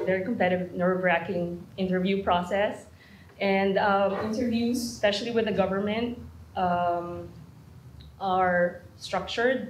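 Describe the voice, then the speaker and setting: The speech moves at a fairly slow pace with fairly even intonation and very even loudness, and audible room echo surrounds it. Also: woman, medium pitch for a woman. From Philippines. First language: not English. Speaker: internationally trained lawyer, program graduate. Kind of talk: panel talk at an information session. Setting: room with live audience. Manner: halting, many fillers.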